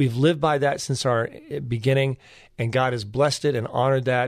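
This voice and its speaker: A man with a normal speaking voice talks at a fairly quick pace, fairly even in intonation, over a quiet background. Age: 50s. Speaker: legal nonprofit founder and lawyer. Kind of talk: radio interview.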